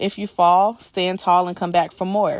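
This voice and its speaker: A woman speaks with an unremarkable speaking voice at medium pitch and a moderate pace. The background is quiet. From US South, Georgia. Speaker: software sales professional and aspiring PA. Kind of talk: personal testimony.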